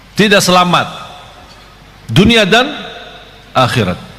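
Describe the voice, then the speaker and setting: Through noticeable background noise and audible room echo, a man speaks fairly slowly in a raised, projected voice. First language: Arabic (speaking Indonesian). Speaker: Islamic preacher. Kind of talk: sermon. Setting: live audience at religious gathering. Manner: animated.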